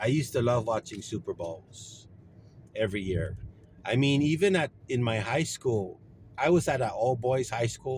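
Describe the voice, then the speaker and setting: Somewhat breathy, a man at medium pitch speaks at a moderate pace with lively intonation. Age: 60s. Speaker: vlogger. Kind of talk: casual chat. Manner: halting.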